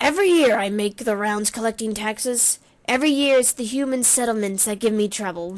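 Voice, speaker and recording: A woman puts on a character voice at a fairly high pitch, talking at a fairly quick pace. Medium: game stream. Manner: gruff, sardonic.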